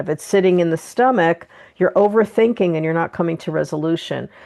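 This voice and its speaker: A woman with a normal speaking voice and an American accent, fairly low-pitched, with ordinary pitch variation and a fairly quick pace. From New Jersey, US. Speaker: podcast host and energy healer. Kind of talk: interview conversation.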